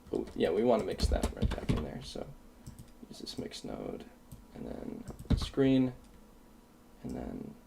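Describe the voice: With vocal fry and a dark, mellow tone, the voice moves at a fairly slow pace through long, frequent pauses, its pitch swinging very widely amid audible room echo. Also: man, low pitch for a man.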